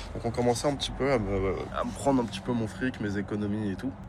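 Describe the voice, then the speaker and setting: Over noticeable background noise, a man speaks in a fairly low pitch with ordinary pitch variation. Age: 20s. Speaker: guest sharing personal story. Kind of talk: testimony. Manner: halting.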